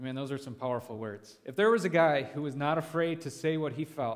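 A man's ordinary pitch variation and moderate pace come across clearly, with the background quiet. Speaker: pastor leading a devotion. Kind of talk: sermon. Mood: relaxed, lightly humorous. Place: church. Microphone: headset.

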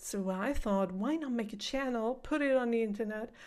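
A woman speaks with a non-native accent and ordinary pitch variation. The background is quiet. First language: not English. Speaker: reaction video host. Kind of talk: casual talk to camera. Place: home room. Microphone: studio mic.

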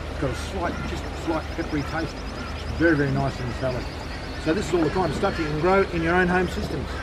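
Over loud background noise, a man talks very quickly. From Australia. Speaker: aquaponics farmer and teacher. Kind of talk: guided walking tour. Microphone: phone near.

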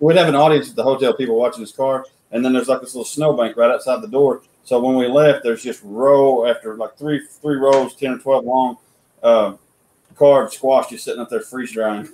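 Talking at a fairly quick pace, a man with a dark, mellow tone shows big swings in loudness and ordinary pitch variation, with audible room echo. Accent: American. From Oklahoma. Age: 30s. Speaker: sculptor and woodcarver; guest. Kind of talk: casual chat. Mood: relaxed, storytelling, jovial. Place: home room. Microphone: video call.

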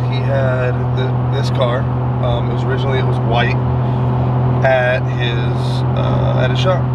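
Loud background noise surrounds speech at a moderate pace, with a dry sound and no echo. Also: man. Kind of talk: interview answer. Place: car. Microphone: phone near.

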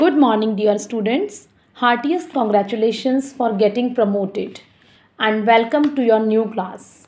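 A woman with an Indian accent speaks at a fairly slow pace, her fairly high pitch showing ordinary variation. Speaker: school teacher. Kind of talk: online class lesson. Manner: slow, explanatory.

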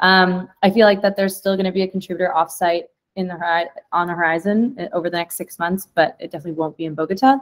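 A woman rattles along at a very fast pace, her pitch varying in an ordinary way, with a quiet background behind her. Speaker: community call facilitator. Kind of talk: casual work meeting. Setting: video call. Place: home room.

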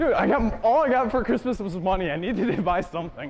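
A man speaks at a high pitch with lively intonation and a slightly mellow tone. Faint background noise sits behind him. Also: fairly quick pace.

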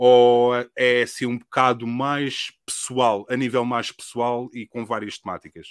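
With a European Portuguese accent, a man speaks at a fairly slow pace in a monotone, flat intonation with hardly any pauses, in a dry sound with no echo against a quiet background. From Portugal. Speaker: podcast host. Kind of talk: casual podcast interview chat. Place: home room. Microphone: studio mic.

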